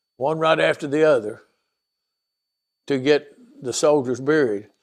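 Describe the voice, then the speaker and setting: In a rural Tennessee accent, a man with a fairly high voice speaks at a fairly slow pace with fairly even intonation. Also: quiet background. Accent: Southern US, Tennessee rural. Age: 70s. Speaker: veteran telling life story. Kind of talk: oral history interview. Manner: halting, repetitive.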